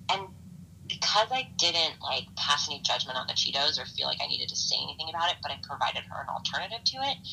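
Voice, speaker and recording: Noticeable background noise fills the clip. A woman speaks at a very fast pace. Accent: American. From Los Angeles, US. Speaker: former teacher, mothers' nonprofit member. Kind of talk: interview.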